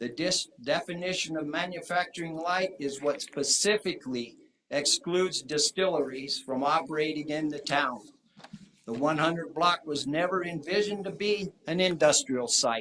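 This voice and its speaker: A plain, everyday voice, ordinary in its pitch variation and moderate in pace. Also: man, fairly high pitch for a man. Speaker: public commenter at town council. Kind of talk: public comment. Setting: town council meeting.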